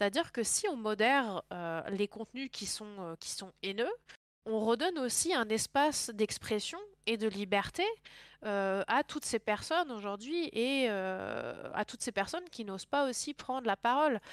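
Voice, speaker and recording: A woman speaks in a plain, everyday voice at a fairly slow pace. The recording is very clean, with a silent background and a dry, close sound with no echo. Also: fairly high pitch for a woman. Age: 20s. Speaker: content moderation professional in video games. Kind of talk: interview.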